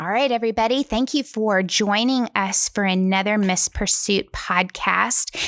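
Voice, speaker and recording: With hardly any pauses, a woman speaks at a moderate pace in a normal speaking voice, fairly high in pitch with ordinary pitch variation. It is a very clean recording with a silent background and dry, close sound with no echo. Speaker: podcast host. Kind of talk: podcast intro read.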